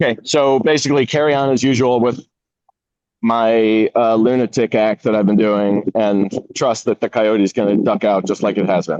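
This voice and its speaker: A man speaks at a moderate pace and medium pitch, with ordinary pitch variation and very even loudness. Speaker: resident asking questions. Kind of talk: community workshop Q&A.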